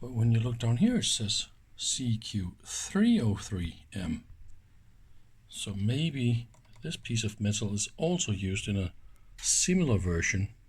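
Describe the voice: Slowly, the voice moves through big pitch swings, its tone slightly mellow with a slightly husky edge. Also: man.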